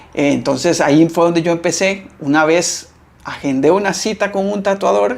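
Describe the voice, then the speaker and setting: Here a man's pitch is high, with ordinary variation. He keeps a moderate pace. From Costa Rica. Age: 30s. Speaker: tattoo artist. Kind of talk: interview.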